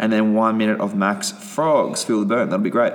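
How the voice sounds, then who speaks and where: Over noticeable background noise, a man talks in an upbeat tone with lively intonation. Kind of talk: fitness class instruction. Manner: brisk, rhythmic, upbeat coach-style delivery, rattling off rep counts; casual, profane, bantering.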